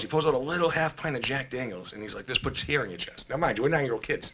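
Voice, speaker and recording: Noticeable background noise sits behind this fairly high-pitched man. He talks at a very fast pace with ordinary pitch variation. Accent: Boston. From Boston, Massachusetts (East Boston). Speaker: person in addiction recovery. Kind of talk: personal testimony in podcast interview. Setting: studio. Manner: casual, hesitant with many fillers.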